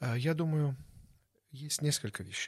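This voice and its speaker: A man speaks at a moderate pace, somewhat breathy. The recording is very clean, with a silent background. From Belarus (born in Baku). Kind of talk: interview.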